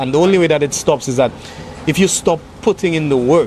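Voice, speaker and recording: A man's high voice at a fairly quick pace, ordinary pitch variation, noticeable background noise. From Saint Lucia. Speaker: singer-songwriter. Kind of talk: interview answer.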